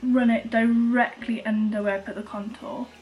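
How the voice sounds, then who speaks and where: Over noticeable background noise, a woman with a Welsh accent speaks at a moderate pace and a fairly high pitch. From Wales. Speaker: beauty vlogger. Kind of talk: makeup tutorial talk to camera. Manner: casual, chatty.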